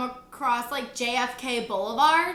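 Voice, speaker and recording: High-pitched and raised, a woman's projected voice carries an animated tone, lively intonation and a Michigan accent at a fairly slow pace. Audible room echo and noticeable background noise come through. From Michigan, Detroit area. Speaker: travel vlogger. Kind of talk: casual chat. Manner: loud.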